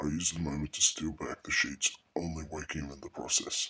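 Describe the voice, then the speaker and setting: The speaker uses a put-on character voice at a fairly quick pace. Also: man, very deep, low pitch for a man. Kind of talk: horror narration. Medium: read story. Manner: hushed, somber.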